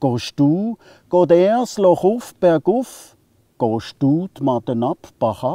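With an Alemannic accent, a man speaks very slowly in a dark, mellow tone with lively intonation, the sound dry with no echo against a quiet background. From southwest Germany, Alemannic region. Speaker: poet. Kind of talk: poetry reading. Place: forest.

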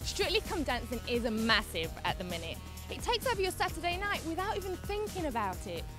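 A woman with a British accent sounds upbeat and bubbly over clear music in the background, in a dry sound with no echo. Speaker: TV presenter. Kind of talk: TV presenter piece to camera, upbeat. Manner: upbeat, bubbly.

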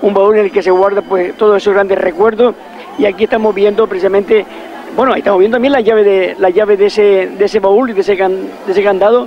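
Fairly quick speech with fairly even intonation over crowd noise in the background. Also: man, high pitch for a man, very even loudness. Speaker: local event commentator. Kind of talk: live commentary. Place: street.

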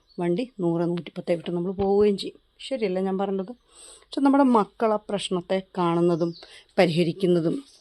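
A woman with a dark, mellow tone and ordinary pitch variation, in a dry, close sound with no echo. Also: medium pitch for a woman. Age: 40s. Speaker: YouTube gardening vlogger, plant seller. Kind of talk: casual vlog talk. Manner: chatty, conversational.

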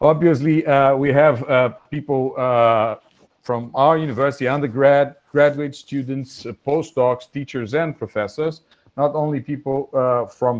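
A man speaks at a fairly slow pace with a Portuguese accent. His pitch is fairly high, and his intonation stays fairly even. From Brazil. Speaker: physics professor, webinar moderator. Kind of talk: formal moderation. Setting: video call. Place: home room. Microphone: earbuds.

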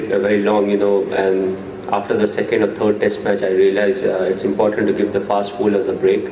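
A man talks at a moderate pace with very even loudness, audible room echo, and light background noise. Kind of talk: press conference answers. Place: meeting room. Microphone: podium.

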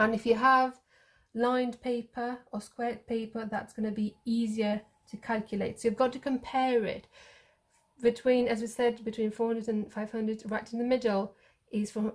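Against a quiet background, the speech moves at a moderate pace with monotone, flat intonation. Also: woman. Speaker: maths teacher. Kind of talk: tutorial.

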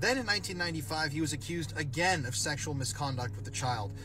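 Music runs in the background. A man with an American accent speaks with lively intonation. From Philadelphia. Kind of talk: true-crime narration.

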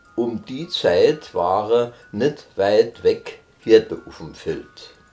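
A man is speaking. Music plays in the background. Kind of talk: retelling of the Christmas story in dialect. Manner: casual, everyday storytelling.

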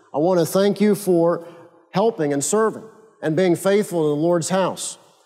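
A high male voice at a moderate pace, with very even loudness over a quiet background. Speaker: pastor. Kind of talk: sermon. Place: church.

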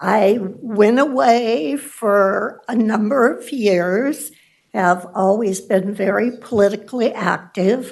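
A woman with an American accent speaks very slowly at a fairly high pitch with ordinary pitch variation, and audible room echo surrounds her voice. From Elk Grove, California, US. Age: 80s+. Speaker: public commenter. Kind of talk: public comment at council meeting. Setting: city council chamber.

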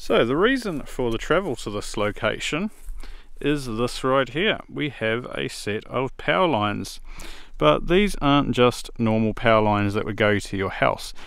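Using lively intonation at a moderate pace, a man with a medium pitch speaks in a New Zealand accent. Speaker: electronics video creator. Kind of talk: product review tutorial. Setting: outdoors.

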